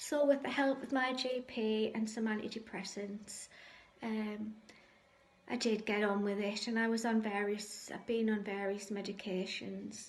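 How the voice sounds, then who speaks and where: With audible room echo, a woman talks at a fairly slow pace in a somewhat breathy voice, her pitch fairly high and her intonation fairly even. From northeast England, Sunderland. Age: 60s. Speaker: cancer patient sharing faith story. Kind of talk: testimony. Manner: hesitant, frequent ums.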